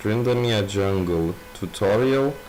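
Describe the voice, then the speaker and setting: A man's fairly low voice with a non-native accent, ordinary pitch variation, audible room echo and noticeable background noise. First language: not English. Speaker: gaming youtuber. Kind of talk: tutorial. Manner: halting, many filler words.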